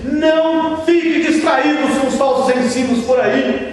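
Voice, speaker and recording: Amid noticeable background noise and audible room echo, a man speaks in an extremely high pitch with monotone, flat intonation. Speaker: pastor. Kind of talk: sermon. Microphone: poor video quality.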